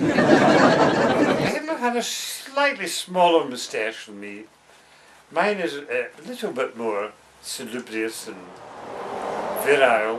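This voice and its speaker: A man with a west of Scotland accent and a pompous tone speaks at a very slow pace with long, frequent pauses and big swings in loudness, over noticeable background noise. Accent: Scottish (west of Scotland). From Scotland, Paisley in Renfrewshire. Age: 60s. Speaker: interviewee on a holiday video. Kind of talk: mock interview, playful banter. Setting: holiday cottage. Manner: mock-formal, pompous.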